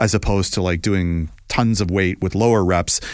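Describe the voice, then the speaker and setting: The recording is very clean, with a silent background. A man with a normal speaking voice talks at a moderate pace, fairly low in pitch and with ordinary pitch variation. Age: 50s. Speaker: talk show host. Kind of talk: casual chat.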